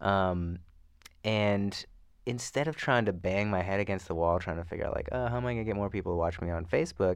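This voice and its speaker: A man with a plain, everyday voice talks at a fairly quick pace, his fairly low pitch moving with ordinary variation against a quiet background. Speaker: musician and podcaster. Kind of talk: casual interview chat. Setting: studio, sitting across from host.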